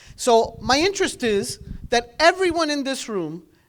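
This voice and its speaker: A woman with a non-native accent. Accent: foreign accent in English. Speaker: government outreach specialist. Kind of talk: public speech.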